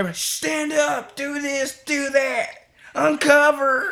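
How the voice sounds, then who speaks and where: A high-pitched, put-on character voice carries the clip. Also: fairly slow pace. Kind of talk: bossy, cheering-style commands.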